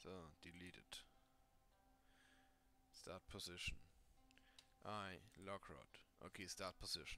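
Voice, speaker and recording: A man with a non-native accent speaks at a very slow pace. His long, frequent pauses come with music in the background. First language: not English. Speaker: 3D modding tutorial creator. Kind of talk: screen-recorded software tutorial.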